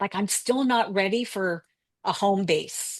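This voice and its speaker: In an American accent, a woman with an unremarkable speaking voice talks at a fairly slow pace and medium pitch, in a dry, close sound with no echo. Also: quiet background. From Colorado, US. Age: 60s. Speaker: travel mentor. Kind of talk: interview.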